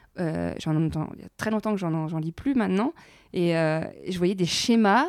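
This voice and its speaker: Recorded very cleanly with a silent background and a dry, close sound with no echo, a normal speaking voice moves at a moderate pace with lively intonation. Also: woman. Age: 30s. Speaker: podcast host. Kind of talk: casual chat.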